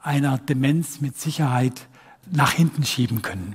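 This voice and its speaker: Animated, somewhat breathy delivery from a man with a fairly high pitch and ordinary pitch variation. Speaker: professor of music physiology, musician and physician. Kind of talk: lecture. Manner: animated, demonstrates sounds by voice.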